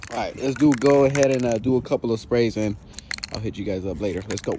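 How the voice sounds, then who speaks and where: Over noticeable background noise, a man talks at a very fast pace with lively intonation. His pitch is medium. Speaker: car enthusiast DIY vlogger. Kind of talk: casual DIY tutorial vlog. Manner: casual, filler-heavy.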